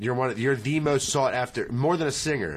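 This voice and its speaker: Using a plain, everyday voice, a man with an American accent talks at a moderate pace with ordinary pitch variation. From southern Pennsylvania (Littlestown), southern family ties. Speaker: musician. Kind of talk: casual chat.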